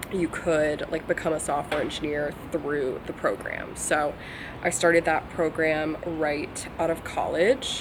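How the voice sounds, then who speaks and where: Over noticeable background noise, a woman with an American accent speaks at a fairly slow pace in a very deep, low pitch with fairly even intonation. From Virginia, US. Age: 20s. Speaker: vlogger and software engineer. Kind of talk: casual chat to camera. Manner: casual, filler-heavy.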